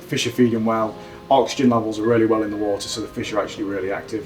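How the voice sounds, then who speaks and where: Talking very fast with a Yorkshire accent, a man is heard over noticeable background noise. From South Yorkshire, England. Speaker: angler. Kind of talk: interview.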